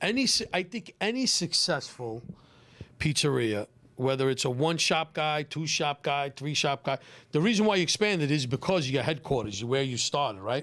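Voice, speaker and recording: A Brooklyn accent at a moderate pace with lively intonation, in a very clean recording with a silent background. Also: man, fairly high pitch for a man. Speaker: pizzeria owner. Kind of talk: casual podcast chat. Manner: animated, repetitive.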